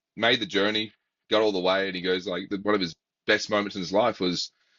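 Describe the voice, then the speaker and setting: Here a man speaks at a very fast pace. His pitch is fairly low. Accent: Australian. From Australia, South Australia. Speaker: baseball academy coach and interviewer. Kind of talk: casual interview chat.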